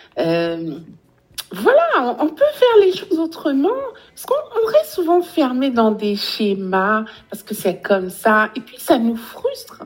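A woman speaks at a fairly slow pace with big swings in loudness over noticeable background noise. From Guadeloupe. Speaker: relationship coach. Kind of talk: interview.

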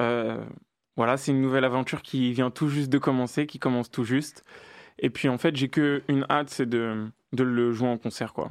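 A man with an unremarkable speaking voice, medium pitch and fairly even intonation at a moderate pace, on a very clean recording with a silent background. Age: 20s. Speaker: rapper. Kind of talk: interview.

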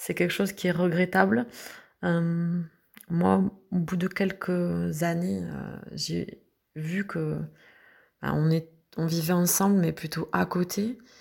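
Long pauses turn up frequently. Overall, the delivery is very slow. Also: woman. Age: 40s. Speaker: mother recovering from anorexia. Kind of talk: testimony.

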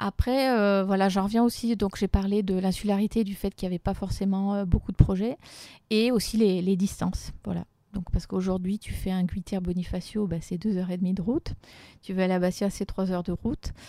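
Her voice dark and mellow at medium pitch, a woman talks fairly quickly with fairly even intonation, the sound dry and close with no echo. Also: very clean recording, silent background. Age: 40s. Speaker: business owner. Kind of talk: interview testimony.

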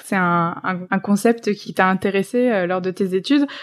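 A woman with a plain, everyday voice speaks at a medium pitch and a moderate pace, with fairly even intonation. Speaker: podcast host. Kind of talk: interview. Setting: remote recording. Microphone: remote recording, sound quality sometimes poorer.

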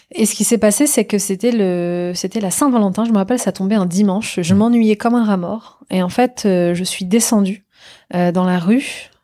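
A woman speaks at a moderate pace with a medium pitch. Her tone is dark and mellow, with ordinary pitch variation. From France, Normandy. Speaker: tech entrepreneur. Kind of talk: interview.

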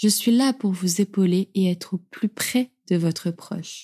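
With a dry, close sound and no echo, a woman speaks at a fairly slow pace in a medium pitch, her somewhat breathy voice warm, gentle, dark and mellow, with fairly even intonation. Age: 20s. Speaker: podcast host and writer. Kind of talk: scripted narration.

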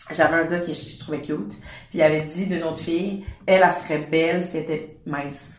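In a room with audible echo and noticeable background noise, a woman with a Quebec accent talks at a fairly quick pace and a fairly low pitch, her intonation fairly even but her loudness swinging widely. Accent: Québécois French. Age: 20s. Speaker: fashion brand founder. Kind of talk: casual interview. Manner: hesitant, many fillers.

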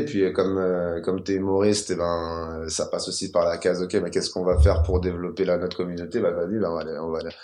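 Very deep, low male voice, fairly even in intonation, with audible room echo. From Paris suburbs, Val-de-Marne. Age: 30s. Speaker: comedian and rapper. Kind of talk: casual interview.

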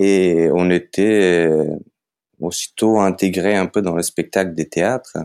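Very slow speech from a man with a Macedonian accent, his pitch very deep and low, intonation fairly even and loudness very even, in a dry, close sound with no echo. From North Macedonia. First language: Macedonian (speaking French). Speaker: circus artist and photographer. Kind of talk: interview. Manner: hesitant, many fillers.

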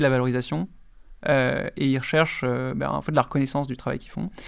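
A man talks at a medium pitch and a moderate pace with fairly even intonation. The recording is very clean, with a silent background. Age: 30s. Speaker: startup chief executive. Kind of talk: casual interview.

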